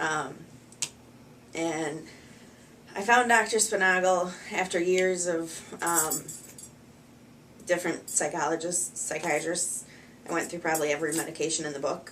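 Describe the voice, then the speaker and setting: A woman with an American accent speaks at a moderate pace and a fairly low pitch, her intonation fairly even, with long, frequent pauses and audible room echo. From US Midwest, Wisconsin. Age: 30s. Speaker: patient. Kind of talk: testimony. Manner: halting, many fillers.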